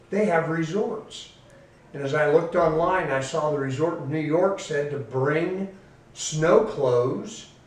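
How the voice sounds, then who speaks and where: A fairly high-pitched man with an American accent, at a very slow pace and ordinary pitch variation, amid noticeable background noise and audible room echo. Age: 60s. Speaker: pastor. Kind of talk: testimony.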